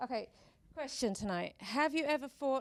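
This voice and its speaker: A woman speaks in a British accent at a moderate pace. Her voice sounds shaky. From Britain. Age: 40s. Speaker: speaker at a talk event. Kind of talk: public talk. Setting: stage with audience.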